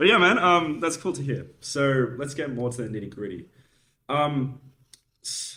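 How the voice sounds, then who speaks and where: Bright and sharp in tone, a man speaks at a moderate pace with a fairly high pitch and lively intonation. His loudness swings widely, and his pauses are long and frequent. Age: 20s. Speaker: podcast host. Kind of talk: casual interview. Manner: casual.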